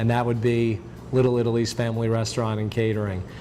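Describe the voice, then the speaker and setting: The man's intonation stays fairly even while noticeable background noise is heard. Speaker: talk show host. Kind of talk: local TV interview show host.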